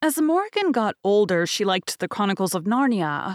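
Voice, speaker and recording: Over a silent background on a very clean recording, a woman with a plain, everyday voice speaks fairly quickly at a medium pitch with lively intonation. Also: dry, close sound with no echo. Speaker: podcast host and audiobook narrator. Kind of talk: casual interview.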